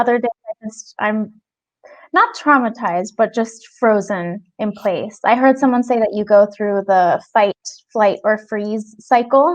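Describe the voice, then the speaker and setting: With ordinary pitch variation, a woman speaks in a plain, everyday voice. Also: fairly high pitch for a woman. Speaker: actress. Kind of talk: interview answer.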